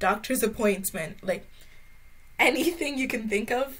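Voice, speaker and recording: A woman's voice, somewhat breathy, shifts in pitch in an ordinary way. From Brazil, raised in Ireland. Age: young. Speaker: university student. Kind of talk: interview answer. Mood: warm, smiling, nostalgic. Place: home room.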